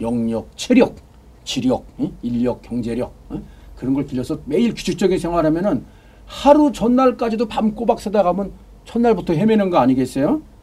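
Swinging very widely in pitch, a man speaks in a high voice. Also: moderate pace. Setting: studio. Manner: animated.

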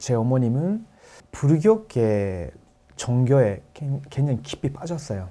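At a very slow pace, a man speaks with a dark, mellow tone, a medium pitch and lively intonation. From Japan. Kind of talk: testimony in a panel talk.

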